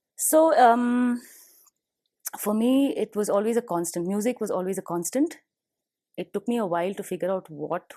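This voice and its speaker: A woman with a Tamil accent, dark and mellow in tone, lively in intonation, against a quiet background. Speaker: professional musician, bassist and vocalist. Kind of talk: interview. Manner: animated.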